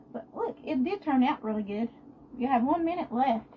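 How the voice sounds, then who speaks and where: Noticeable background noise surrounds the recording. The woman's intonation is lively. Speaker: home cooking livestreamer. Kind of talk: live cooking stream.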